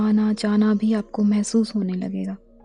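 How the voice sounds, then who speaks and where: A woman speaks in a calm tone at a fairly high pitch. Music plays in the background. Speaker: meditation guide. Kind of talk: guided meditation. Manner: slow, calm.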